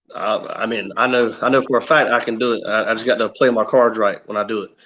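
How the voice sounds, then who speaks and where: With a slight Southern US accent, a man talks at a very fast pace. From South Carolina, near Myrtle Beach. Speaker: competitive martial artist. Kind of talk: casual interview.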